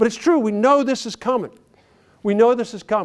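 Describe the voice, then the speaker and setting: Someone with an American accent talks at a very fast pace. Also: man. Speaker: banking executive and conference speaker. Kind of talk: conference keynote speech. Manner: animated.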